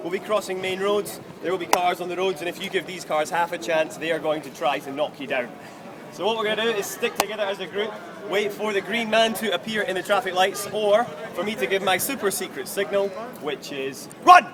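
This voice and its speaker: A man with a high voice and ordinary pitch variation talks fairly quickly, noticeable background noise behind him. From Scotland, Kinross. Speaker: tour guide. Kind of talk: guided walking tour talk. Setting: outdoors on city street with tour group. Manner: animated, jokey.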